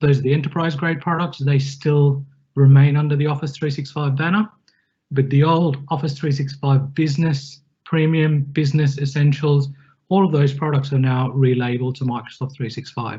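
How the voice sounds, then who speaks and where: A man's somewhat breathy voice, fairly high in pitch, with monotone, flat intonation. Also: moderate pace. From Australia. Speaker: IT technical consultant presenting a webinar. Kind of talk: webinar presentation. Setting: online webinar. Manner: casual, with frequent fillers.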